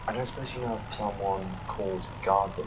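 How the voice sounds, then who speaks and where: Whispering quietly and breathily, a man uses a put-on character voice at a fairly quick pace. Noticeable background noise runs under him. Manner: whispering, hushed.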